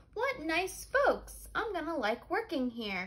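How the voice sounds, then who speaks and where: A woman in a put-on character voice sounds squeaky and cheerful, speaking at an extremely high pitch and a fairly slow pace. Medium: read story. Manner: earnest, cheerful.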